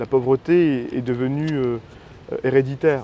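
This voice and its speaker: At a fairly slow pace, a man with a dark, mellow tone and medium pitch keeps his intonation fairly even. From northern France, Roubaix area. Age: 20s. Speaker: political candidate. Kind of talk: interview. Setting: outdoors in a park. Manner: hesitant, many fillers.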